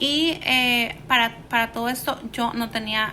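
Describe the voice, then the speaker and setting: A woman speaks with a Salvadoran accent at a fairly high pitch, her pitch varying in an ordinary way. Noticeable background noise is present. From El Salvador, San Salvador. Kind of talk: personal life story told to camera.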